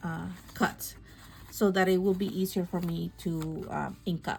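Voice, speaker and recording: A woman speaks with a non-native accent. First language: not English. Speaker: craft YouTuber. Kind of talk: tutorial. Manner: slow.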